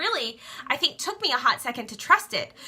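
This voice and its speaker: Her tone is animated, bright and sharp. The woman talks at a fairly quick pace. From Louisiana. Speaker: direct sales skincare seller. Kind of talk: Facebook live talk.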